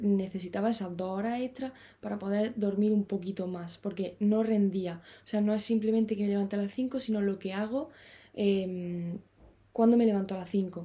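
Somewhat breathy, a woman's voice carries a dark, mellow tone and fairly even intonation. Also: medium pitch for a woman, moderate pace. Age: 20s. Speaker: podcaster and author. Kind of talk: solo monologue. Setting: parents' bedroom. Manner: halting with fillers.

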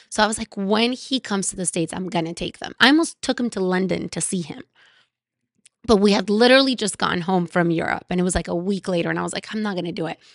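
A woman with a Spanish accent talks at a very fast pace with ordinary pitch variation. The sound is dry and close with no echo, and the background is quiet. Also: medium pitch for a woman. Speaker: podcast host. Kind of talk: casual chat. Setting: at guest's house.

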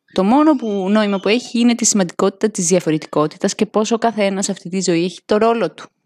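An animated woman at medium pitch, fairly quick in pace, with ordinary pitch variation. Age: 30s. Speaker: podcaster, tarot card reader. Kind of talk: solo monologue, card reading.

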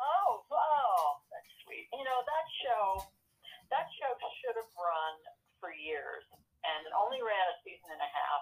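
A woman speaks at a fairly slow pace with vocal fry. Her pitch swings very widely. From New York. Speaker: actress and poet. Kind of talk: casual interview. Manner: hesitant with many fillers.

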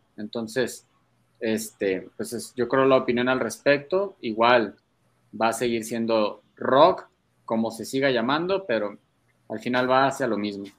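A man speaks in a normal speaking voice at medium pitch and a fairly slow pace. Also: ordinary pitch variation, very clean recording, silent background. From Mexico, Guadalajara. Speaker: metal guitarist. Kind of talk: casual interview chat.

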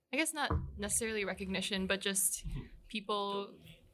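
A woman's medium-pitched voice, bright and sharp in tone, with vocal fry and ordinary pitch variation. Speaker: graphic designer on team. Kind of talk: casual chat.

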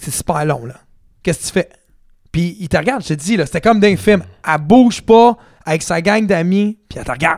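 This man talks at a fairly quick pace in a high voice, with lively intonation, big swings in loudness, and long, frequent pauses. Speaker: podcast co-host, DJ. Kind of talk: casual chat. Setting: studio.

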